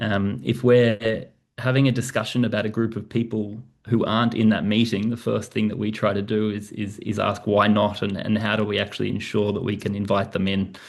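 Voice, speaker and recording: A man with an Australian accent, fairly low pitch and monotone, flat intonation at a fairly quick pace. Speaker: professor. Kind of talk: presentation. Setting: video call. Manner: fast.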